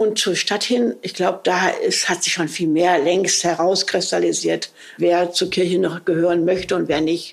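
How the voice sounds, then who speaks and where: A fairly low-pitched woman at a moderate pace, fairly even intonation, noticeable background noise. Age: 70s. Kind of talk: interview conversation.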